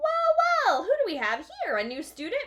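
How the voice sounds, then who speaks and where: A woman's put-on, squeaky character voice, extremely high-pitched with very wide pitch swings, at a moderate pace. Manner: friendly, smiling.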